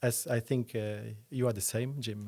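On a very clean recording with a silent background, a man with a Luxembourgish accent talks at a moderate pace and medium pitch with fairly even intonation. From Luxembourg, Esch-sur-Alzette. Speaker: entrepreneur and property developer. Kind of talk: interview. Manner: halting, many fillers.

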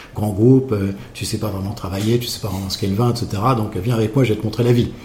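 Fairly quick male speech amid audible room echo and noticeable background noise. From Champagne, France. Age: 60s. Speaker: champagne house owner. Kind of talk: interview. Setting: at a champagne house.

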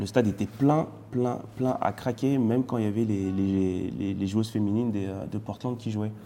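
A man's unremarkable speaking voice, fairly low in pitch, at a fairly slow pace with fairly even intonation. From France. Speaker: retired footballer and TV pundit. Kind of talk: casual interview.

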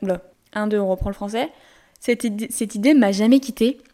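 A dark, mellow tone from a woman, fairly high in pitch. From France, Lyon. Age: 20s. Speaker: podcast host. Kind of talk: solo podcast monologue. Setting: home recording in bedroom. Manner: poor articulation; monotone storytelling.

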